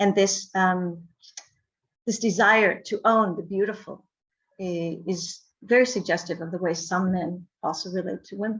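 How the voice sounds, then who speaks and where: Somewhat breathy, a woman speaks at medium pitch and a fairly slow pace. Her intonation stays fairly even. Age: 60s. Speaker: academic conference panelist. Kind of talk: conference presentation. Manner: hesitant with fillers.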